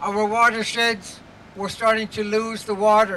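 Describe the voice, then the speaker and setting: Over light background noise, a man talks at a fairly slow pace in a raised, projected voice. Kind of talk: rally speech. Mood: earnest and firm. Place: street. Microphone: handheld.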